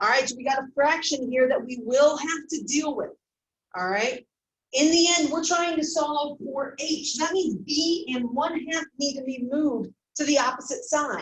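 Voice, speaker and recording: Her voice is high in pitch. The woman's pitch moves in an ordinary way. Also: moderate pace. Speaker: math teacher. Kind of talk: recorded classroom math lesson.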